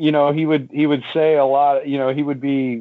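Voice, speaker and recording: This is a man speaking. His pitch is fairly high. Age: 40s. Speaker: podcast host of a rock music show. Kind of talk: casual chat. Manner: halting, many fillers.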